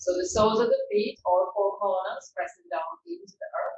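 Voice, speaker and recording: A woman with a medium pitch speaks fairly slowly, her intonation lively. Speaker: yoga teacher. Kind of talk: guided yoga class instruction. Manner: soothing, calm, slow.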